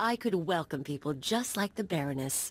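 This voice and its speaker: This put-on character voice moves at a moderate pace. Its pitch swings very widely. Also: woman. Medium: video game. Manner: casual, cheeky.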